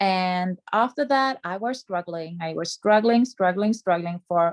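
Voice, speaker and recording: A woman with a non-native accent speaks at a fairly slow pace in a medium pitch, her pitch varying in an ordinary way, and the sound is dry and close with no echo. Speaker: sales coordinator. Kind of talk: personal story on training call. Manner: halting.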